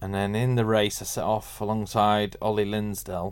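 Monotone, flat delivery from a man with a Mancunian accent at a moderate pace. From Manchester, northern England. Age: 40s. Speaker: garage owner and racing father. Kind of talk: interview conversation.

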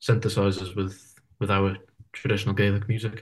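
Against a quiet background, a man with a fairly low pitch speaks in a somewhat breathy, monotone voice with flat intonation. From Isle of Man. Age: 20s. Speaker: folk musician and university student. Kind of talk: interview. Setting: video call. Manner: hesitant, many fillers.

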